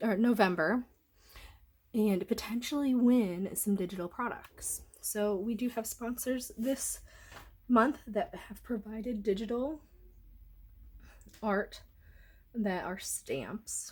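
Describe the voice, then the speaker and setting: Somewhat breathy speech comes at a very slow pace with long, frequent pauses and ordinary pitch variation. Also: woman. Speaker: scrapbooking crafter. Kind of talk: craft tutorial. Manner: casual, chatty.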